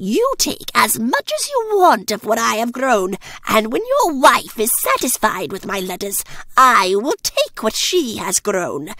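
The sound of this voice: Using a cartoonish character voice, a woman speaks at a fairly high pitch and a fairly slow pace with few pauses, big pitch swings and a bright, sharp tone.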